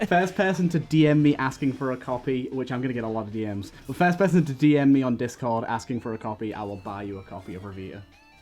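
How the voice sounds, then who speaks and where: Over music in the background, a man speaks very fast at medium pitch with lively intonation, hardly any pauses and big swings in loudness. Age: 20s. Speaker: podcast host. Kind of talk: casual chat.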